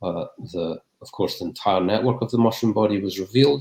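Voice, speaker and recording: A man's fairly low, somewhat breathy voice in a Scottish accent, with ordinary pitch variation at a moderate pace. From Scotland. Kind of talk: Q&A after academic talk. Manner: halting, many fillers and repeats.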